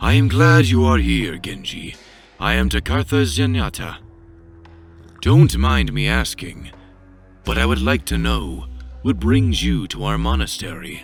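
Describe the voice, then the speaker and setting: A man puts on a character voice at a very deep, low pitch and a moderate pace. He takes long, frequent pauses while music plays clearly in the background. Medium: machinima. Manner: calm, measured.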